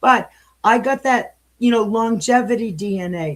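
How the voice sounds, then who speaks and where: A woman talks at a moderate speed. Her voice is somewhat breathy. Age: 70s. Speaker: political candidate. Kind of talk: interview. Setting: live stream.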